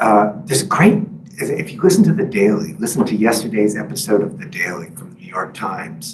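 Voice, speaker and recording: Amid noticeable background noise and audible room echo, a man speaks with very wide pitch swings. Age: 50s. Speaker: author and journalist. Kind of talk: book talk with Q&A. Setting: library talk with live and Zoom audience. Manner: halting, many fillers.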